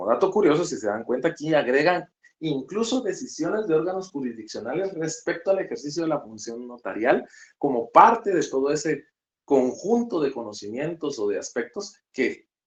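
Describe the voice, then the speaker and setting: This man's voice sits fairly high and moves through very wide pitch swings. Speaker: law lecturer. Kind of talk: online lecture. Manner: fast.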